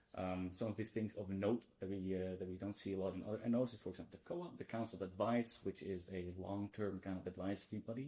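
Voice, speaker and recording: A man with a Dutch accent speaks very fast with hardly any pauses, his fairly low, dark, mellow voice staying flat and monotone. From Netherlands, Amsterdam. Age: 20s. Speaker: student association board member. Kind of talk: presentation.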